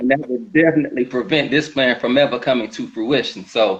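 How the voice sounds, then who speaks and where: A man with an unremarkable speaking voice, medium pitch and a moderate pace. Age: 40s. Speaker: sober veteran sharing recovery story. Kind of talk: testimony. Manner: reading a prepared story.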